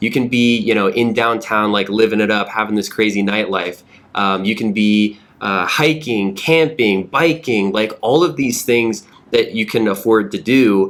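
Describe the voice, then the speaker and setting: At a fairly slow pace, a man with a fairly low pitch uses an ordinary speaking voice with ordinary pitch variation. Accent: American. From US South, Georgia. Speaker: real estate podcast host. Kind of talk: casual podcast conversation.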